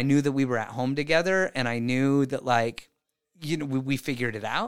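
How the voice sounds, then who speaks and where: Recorded very cleanly against a silent background, a man with an American accent speaks at a fairly quick pace in a fairly high pitch. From Mexican American. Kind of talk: interview. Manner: animated.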